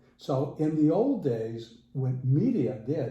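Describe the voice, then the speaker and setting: Audible room echo surrounds a man speaking at a medium pitch. His voice is somewhat breathy, with a dark, mellow tone. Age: 70s. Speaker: interviewee, working technical manager. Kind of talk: casual interview.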